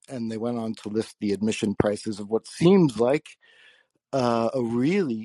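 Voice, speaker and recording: Over a quiet background, a man speaks at medium pitch and a moderate pace, his tone dark and mellow, with ordinary pitch variation. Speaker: caller. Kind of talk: casual chat. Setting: phone call.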